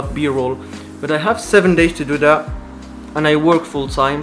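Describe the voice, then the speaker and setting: Over music in the background, a man with a non-native accent talks at a fairly quick pace in a fairly high voice. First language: not English. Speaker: student vlogger. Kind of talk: casual vlog talk. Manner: halting.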